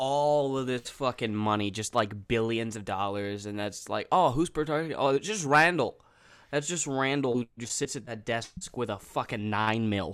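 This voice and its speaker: On a very clean recording with a silent background, a man with a normal speaking voice talks at a moderate pace and medium pitch, with ordinary pitch variation. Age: 20s. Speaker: podcast co-host. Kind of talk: casual chat.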